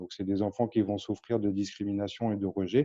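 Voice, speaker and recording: A man's fairly low, flat, monotone voice at a fairly quick pace. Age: 30s. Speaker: charity founder. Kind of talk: interview.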